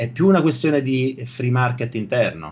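Speech from a man comes at a fairly slow pace. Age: 40s. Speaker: software engineer and online creator; online creator. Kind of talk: casual interview chat. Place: home room.

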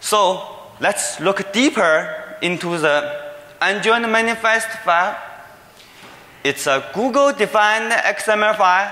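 A man's raised, projected voice with a Chinese accent, high pitch, lively intonation and very even loudness, at a very slow pace amid audible room echo. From China. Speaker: security researcher. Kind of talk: conference talk. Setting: stage with audience. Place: hall. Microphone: podium.

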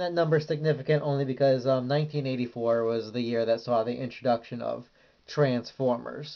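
The voice keeps a moderate pace against a quiet background. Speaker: comic reviewer. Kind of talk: casual review commentary. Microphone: phone near.

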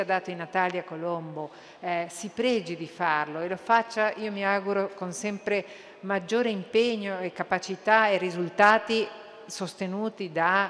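A woman speaks at a moderate pace. Her intonation stays fairly even. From Uruguay. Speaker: cultural institution director; conference speaker. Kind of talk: conference speech. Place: hall. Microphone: podium.

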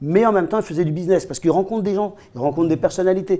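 High-pitched for a man, the voice carries a dark, mellow tone. He speaks at a very fast pace. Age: 50s. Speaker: MMA coach, co-host. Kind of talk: casual chat. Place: home room. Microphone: lapel.

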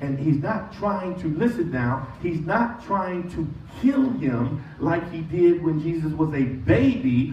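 A man's very slow voice with very wide pitch swings, audible room echo and light background noise. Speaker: pastor. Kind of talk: sermon. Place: church.

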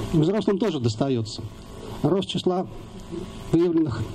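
Light noise can be heard in the background. A man speaks with lively intonation. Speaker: rally organizer. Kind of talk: rally speech. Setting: outdoors. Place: forest.

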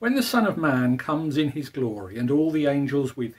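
A man speaks at a medium pitch and a moderate pace. His voice carries a slightly husky edge.

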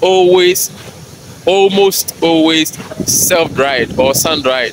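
The sound is dry with no echo as a man speaks over noticeable background noise. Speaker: agribusiness channel host. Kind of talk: casual vlog chat. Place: factory. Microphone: headset.

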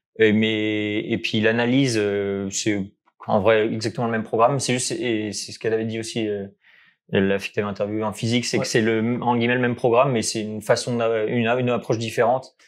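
Speaking at a fairly quick pace, a man keeps his medium-pitched voice monotone. His intonation stays flat. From France near Geneva; France. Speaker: maths graduate; interviewee. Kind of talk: casual interview. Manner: halting. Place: home room. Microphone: lapel.

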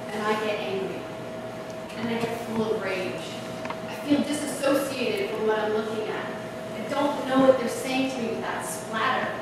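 Someone with an American accent talks at a moderate pace amid audible room echo. Loud background noise runs underneath. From New York. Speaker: conference speaker and moderator. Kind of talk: public talk. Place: hall.

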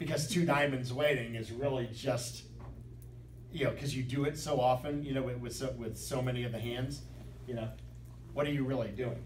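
Audible room echo and light background noise surround a man's voice. He speaks at a fairly quick pace with fairly even intonation. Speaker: bridge teacher. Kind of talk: lecture. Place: classroom. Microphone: camera far.

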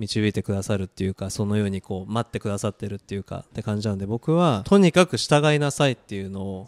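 The pace is very fast, with hardly any pauses. Pitch varies in an ordinary way. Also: man, fairly low pitch for a man. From Japan, raised by Korean parents. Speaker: guest. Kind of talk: casual interview. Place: home room. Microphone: handheld.

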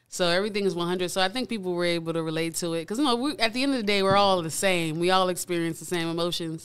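Speaking very fast with hardly any pauses, a woman with an American accent uses ordinary pitch variation against a quiet background. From South Florida, Pompano Beach; Florida. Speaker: recording artist; guest. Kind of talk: casual interview chat. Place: studio. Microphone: studio mic.

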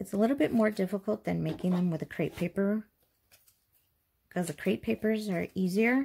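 Somewhat breathy and dark, mellow in tone, a woman speaks at medium pitch and a moderate pace with ordinary pitch variation. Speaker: craft youtuber. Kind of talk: tutorial. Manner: casual, chatty.

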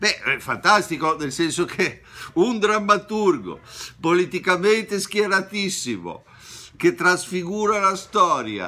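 Using a raised, projected voice with a bright, sharp tone, a man speaks at a fairly slow pace. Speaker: theatre commentator. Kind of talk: lecture-like talk on a play. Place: home room. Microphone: webcam.

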